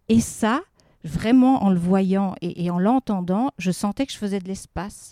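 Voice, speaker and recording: A woman's dark, mellow tone unfolds at a fairly slow pace. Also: medium pitch for a woman, ordinary pitch variation. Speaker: speech therapist. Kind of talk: interview. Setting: outdoors in a garden.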